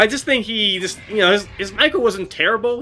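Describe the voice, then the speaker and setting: Music plays in the background as a man speaks. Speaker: gaming streamer. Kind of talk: live gameplay commentary. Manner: halting, stuttering; casual, filler-heavy.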